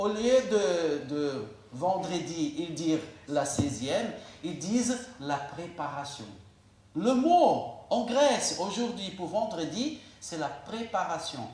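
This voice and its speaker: Very slow speech with very wide pitch swings in a Portuguese accent comes through audible room echo and noticeable background noise. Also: man, high pitch for a man. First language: Portuguese (speaking French). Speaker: pastor. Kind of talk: sermon.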